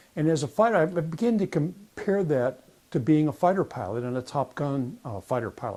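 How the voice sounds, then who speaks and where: A man's dark, mellow voice with an American accent, fairly high pitch and very wide pitch swings. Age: 80s+. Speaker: war veteran and relationship coach. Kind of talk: personal story talk to camera.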